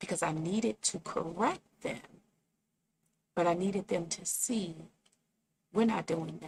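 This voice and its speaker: Speaking fairly slowly with long, frequent pauses, a woman uses a fairly low voice with vocal fry and lively intonation. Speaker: podcast coach. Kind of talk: podcast advice talk. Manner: animated; loud.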